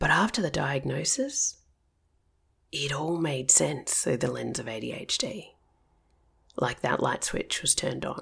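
Speaking fairly slowly with long, frequent pauses, a woman talks in an Australian accent. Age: 40s. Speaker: counsellor and ADHD coach. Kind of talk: personal storytelling podcast monologue.

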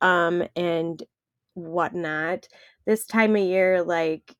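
A woman speaks with a Wisconsin accent. Her pitch is medium. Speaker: podcast co-host.

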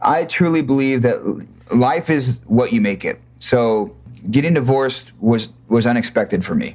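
This man has an unremarkable speaking voice, medium in pitch, with ordinary pitch variation and an American accent. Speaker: singer in a band. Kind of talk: casual interview chat.

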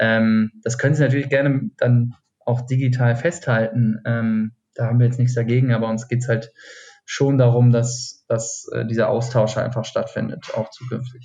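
A man speaks at medium pitch and a moderate pace. His somewhat breathy voice stays flat and monotone. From Hesse, Taunus near Frankfurt. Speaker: cocktail event co-founder. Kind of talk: casual interview. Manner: hesitant, many fillers.

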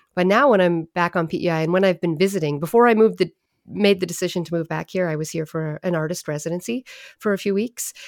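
A woman's fairly low voice at a very fast pace with ordinary pitch variation, on a very clean recording over a silent background. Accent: Maritime Canadian. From Prince Edward Island, Canada (Summerside). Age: 40s. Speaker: poet and musician. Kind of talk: casual interview chat.

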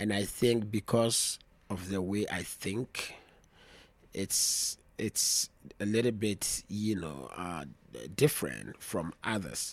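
A man with vocal fry speaks very slowly at a fairly low pitch, with ordinary pitch variation and long, frequent pauses. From Ghana, Volta region. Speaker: traditional dancer and drummer. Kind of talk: casual chat. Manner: halting.

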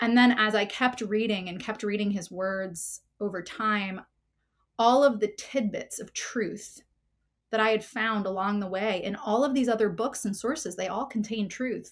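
A woman with an American accent speaks in a plain, everyday voice at a moderate pace. Her fairly high pitch stays fairly even, on a very clean recording with a silent background. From New Jersey. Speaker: counselor. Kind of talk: interview.

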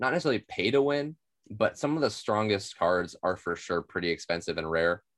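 With an ordinary speaking voice, a man with an American accent talks in a fairly low pitch with lively intonation, recorded with a dry, close sound, no echo and a quiet background. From Oklahoma (Tulsa). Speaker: board game podcast co-host. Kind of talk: casual chat.

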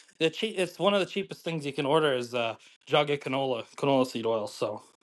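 Over a quiet background, a man with a Western Canadian accent speaks at a fairly high pitch and a fairly quick pace. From Calgary, Canada. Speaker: chef. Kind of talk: casual chat.

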